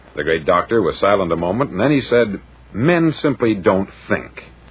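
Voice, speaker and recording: With an American accent, a man speaks at a moderate pace. Noticeable background noise runs behind him. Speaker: broadcaster. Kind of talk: motivational speech recording.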